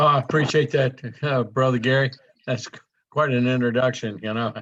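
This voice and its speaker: This man has an American accent and a bright, sharp tone at medium pitch. He talks at a fairly quick pace with fairly even intonation. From US South (south Louisiana). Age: 70s. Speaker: network marketing presenter. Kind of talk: sales presentation.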